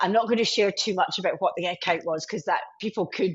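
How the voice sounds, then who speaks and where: A woman speaks with a Scottish accent. Her pitch varies in an ordinary way. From Scotland, Glasgow. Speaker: IT sales leader. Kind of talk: podcast interview.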